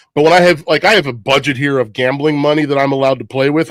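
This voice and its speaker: A loud, animated tone, dry and close with no echo. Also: man. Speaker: guest on a livestream. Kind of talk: casual chat. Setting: livestream.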